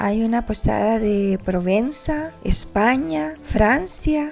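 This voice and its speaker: Music plays in the background as a woman talks. Her voice is fairly high, with lively intonation. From El Salvador. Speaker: travel vlogger. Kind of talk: travel vlog narration.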